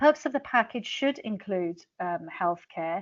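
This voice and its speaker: A woman at a medium pitch and a fairly quick pace, against a quiet background. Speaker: international teacher and author. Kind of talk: webinar presentation. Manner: fast.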